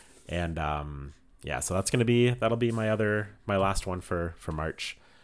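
A man's very deep, low voice with lively intonation, on a very clean recording with a silent background. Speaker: podcast host, photographer. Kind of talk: casual chat. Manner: loud.

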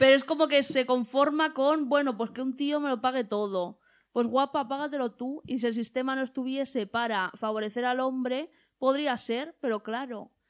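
Animated and high-pitched, a woman speaks with ordinary pitch variation. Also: moderate pace. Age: 20s. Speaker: podcast host. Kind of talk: casual chat.

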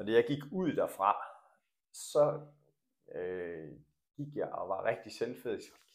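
Long, frequent pauses break up the speech. A man delivers it at a very slow pace. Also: big swings in loudness. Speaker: coach and former badminton coach. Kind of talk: interview.

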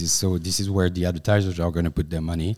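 A man speaks in a French accent. His pitch is very deep and low. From France. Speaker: company finance executive. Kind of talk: casual chat. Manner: halting.

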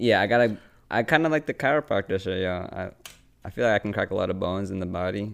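A man with a fairly low pitch speaks at a very fast pace, with ordinary pitch variation. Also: very clean recording, silent background. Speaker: podcast host. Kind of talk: casual chat. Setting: recording in friend's apartment living room. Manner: casual, slangy, laughs often.

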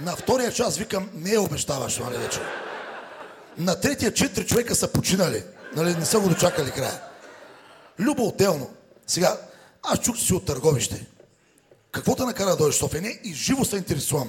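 A man's high voice at a fairly quick pace, with very wide pitch swings and long, frequent pauses. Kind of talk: stand-up comedy roast set. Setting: stage with live audience. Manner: sarcastic, teasing.

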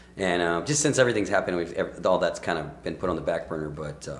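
A man with an American accent and a very deep, low pitch, talking at a very fast pace with audible room echo. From Rio Grande Valley, South Texas. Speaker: musician. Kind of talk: casual chat. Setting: studio.

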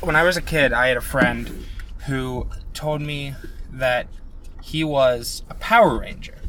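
A man mumbles at a fairly slow pace with long, frequent pauses. Noticeable background noise and audible room echo are present. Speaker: podcast co-host. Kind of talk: casual chat. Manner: mumbling; sometimes loud.

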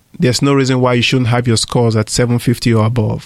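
With fairly even intonation, the speech runs at a fairly quick pace. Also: man. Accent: Nigerian. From Nigeria. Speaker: radio co-host, lending company president. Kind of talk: casual chat. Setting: studio.

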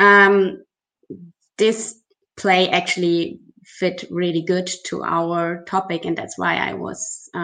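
A woman at medium pitch, fairly slow, with long and frequent pauses. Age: 30s. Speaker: leader of a Tibet advocacy organization. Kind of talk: interview. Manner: halting.

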